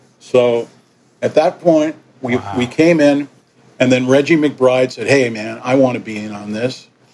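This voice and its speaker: A man with a New York accent, fairly slow delivery, big swings in loudness and ordinary pitch variation. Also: medium pitch for a man. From New York (Yonkers), partly raised in Caribbean. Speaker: musician. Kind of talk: interview.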